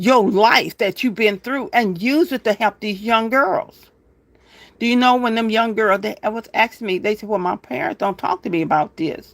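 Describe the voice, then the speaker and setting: A woman speaks at a fairly high pitch and a moderate pace with ordinary pitch variation. The sound is dry and close with no echo, on a very clean recording with a silent background. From Louisiana. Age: 60s. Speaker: homesteading livestreamer. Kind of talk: livestream monologue. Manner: earnest, preachy.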